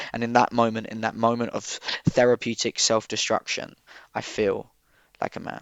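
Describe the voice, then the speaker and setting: A man's medium-pitched, monotone voice with an Essex accent and flat intonation. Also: moderate pace. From Southend, Essex, UK. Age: 20s. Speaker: spoken word poet. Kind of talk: poetry reading.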